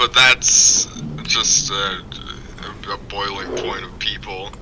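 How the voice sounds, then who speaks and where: With an American accent, a man talks at a very slow pace over noticeable background noise. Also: big swings in loudness. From rural Kansas. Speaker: guest. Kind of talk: casual chat. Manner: halting, many fillers.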